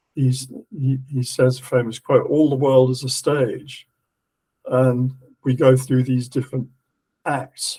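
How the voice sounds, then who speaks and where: A man's somewhat breathy voice with an English accent, medium in pitch, dark and mellow in tone, at a fairly slow pace. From England. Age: 70s. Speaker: esoteric lecturer. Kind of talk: lecture. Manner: halting.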